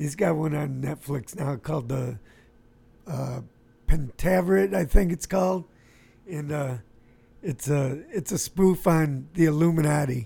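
At a fairly high pitch, a man speaks in a dark, mellow, somewhat breathy tone with ordinary pitch variation. His pace is fairly slow, with long, frequent pauses. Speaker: radio host. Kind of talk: casual chat.

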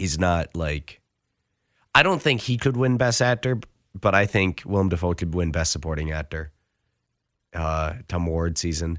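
The delivery comes at a fairly slow pace, in a dry, close sound with no echo on a very clean recording with a silent background. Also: man. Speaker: radio host. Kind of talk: casual film review chat on radio. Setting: radio studio booth.

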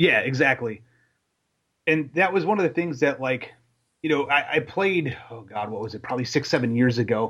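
A man talks in a plain, everyday voice at a fairly high pitch. His loudness swings widely. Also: moderate pace. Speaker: podcast host. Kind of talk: casual chat. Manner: casual.

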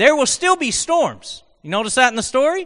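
A man uses a raised, projected voice with a bright, sharp tone, lively intonation and a moderate pace. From Oklahoma. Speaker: guest preacher. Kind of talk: sermon. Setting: church with congregation. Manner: conversational.

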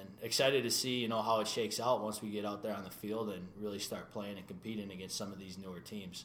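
A man talks very fast with a Minnesota accent, hardly pausing at all. His pitch is fairly low and his intonation monotone and flat, with big swings in loudness. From Minnesota (New Hope). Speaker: soccer goalkeeper. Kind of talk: interview. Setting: studio.

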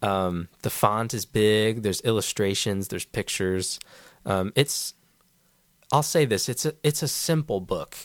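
In a very clean recording with a silent background and a dry, close sound with no echo, a man with a fairly low pitch talks at a fairly slow pace with lively intonation. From US household with Peruvian mother. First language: bilingual English and Spanish. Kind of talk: casual chat.

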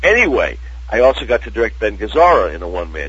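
Audible room echo and noticeable background noise fill the recording. Through them, a man speaks at a moderate pace. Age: 60s. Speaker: actor. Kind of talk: casual chat.

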